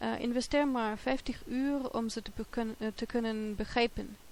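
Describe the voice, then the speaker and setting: A woman's fairly high voice. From Germany. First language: German (speaking Dutch). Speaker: polyglot language learner. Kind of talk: multilingual tips talk. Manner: halting, many filler hesitations.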